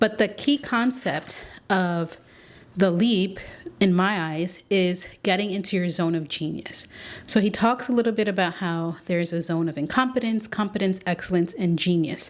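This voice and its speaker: Moderate speed and ordinary pitch variation in a plain, everyday voice. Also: woman, medium pitch for a woman. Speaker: podcast host. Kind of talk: solo podcast monologue. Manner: casual, conversational.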